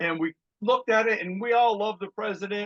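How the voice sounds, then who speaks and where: A man talks in a high-pitched voice with ordinary pitch variation. The sound is dry and close, with no echo. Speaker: cybersecurity consultant. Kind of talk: webinar presentation. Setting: video call. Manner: fast.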